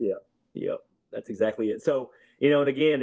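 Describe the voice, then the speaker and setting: A man's dark, mellow voice with a strong Southern US accent, ordinary pitch variation and a moderate pace. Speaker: basketball coach. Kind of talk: casual interview.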